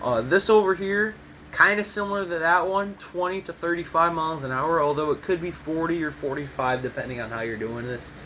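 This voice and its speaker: A man with a high voice and an American accent, fairly quick and lively in intonation, over noticeable background noise. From US Midwest, Michigan. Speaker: gaming YouTuber. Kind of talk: tutorial. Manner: casual, rambling with fillers.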